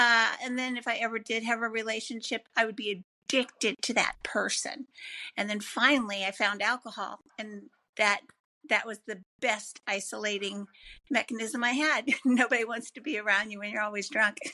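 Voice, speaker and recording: Bright and sharp in tone, a woman speaks at a fairly high pitch and a moderate pace with fairly even intonation. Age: 60s. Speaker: recovering addict. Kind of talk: testimony.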